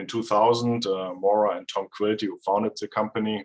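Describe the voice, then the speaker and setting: With a German accent, a man speaks at a moderate pace in a fairly low pitch against a quiet background. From Germany. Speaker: data scientist and consultant; presenter. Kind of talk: technical presentation. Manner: hesitant, many fillers. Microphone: video call.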